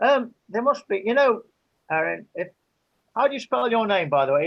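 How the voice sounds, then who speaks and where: A man with an English accent speaks with very wide pitch swings. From England. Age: 70s. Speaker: interviewee. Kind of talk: interview. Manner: halting.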